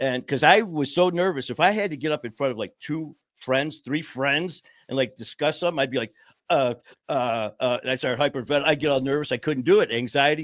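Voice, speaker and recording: A man's fairly high, animated voice at a fairly quick pace, with ordinary pitch variation on a very clean recording with a silent background. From Detroit, Michigan. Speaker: podcast host, person in recovery. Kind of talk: casual chat. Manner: fast, talkative.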